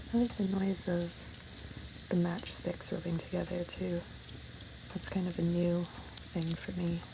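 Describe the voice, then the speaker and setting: Soft-spoken delivery comes at a fairly slow pace, broken by long, frequent pauses. Noticeable background noise sits behind it. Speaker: ASMR creator. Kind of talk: ASMR soft-spoken video.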